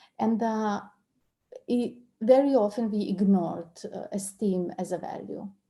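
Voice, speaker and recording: The voice has a dark, mellow tone, sounds somewhat breathy and comes with a Serbian accent. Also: woman. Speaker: coach and trainer. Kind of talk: online interview discussion. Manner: halting, many repetitions.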